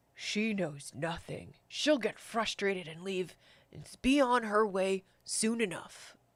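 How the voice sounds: Someone does a gravelly, put-on character voice. The pace is fairly slow. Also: woman, medium pitch for a woman.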